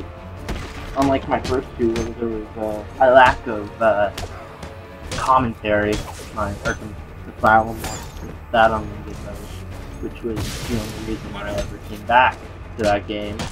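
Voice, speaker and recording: Over music in the background, a man with a fairly low pitch speaks at a moderate pace in a fairly even intonation, with big swings in loudness and long, frequent pauses. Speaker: gameplay commentator. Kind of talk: casual video game commentary. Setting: home recording, volume fading in and out.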